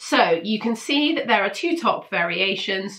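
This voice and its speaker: A woman speaks with a British accent. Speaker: sewing pattern reviewer. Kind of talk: casual product roundup. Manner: casual, hesitant with fillers.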